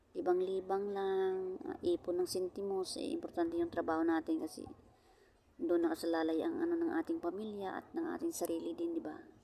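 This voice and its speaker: A soft-spoken woman talks at a fairly quick pace and medium pitch, with very wide pitch swings. Noticeable background noise is present. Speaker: vlogger, overseas Filipino worker. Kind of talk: casual vlog chat. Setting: outdoors at a beach. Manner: soft-spoken, quiet voice; halting, many fillers.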